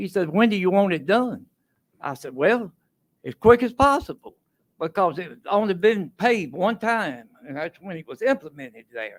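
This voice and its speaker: A man speaks at a moderate pace with a Tennessee accent. His intonation is lively. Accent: Southern US (Tennessee). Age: 80s+. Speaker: resident commenting at public hearing. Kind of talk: public comment. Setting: council meeting podium.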